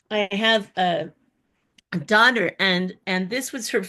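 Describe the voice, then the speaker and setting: The woman talks fairly slowly, and the background is quiet. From Southern California, Pasadena. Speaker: artist. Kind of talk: casual chat. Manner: halting.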